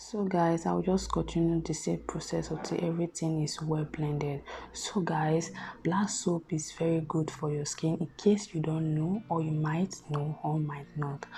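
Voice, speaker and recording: Soft-spoken and fairly slow, a woman talks with very deep, low pitch and fairly even intonation while music plays in the background. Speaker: beauty vlogger. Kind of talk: tutorial.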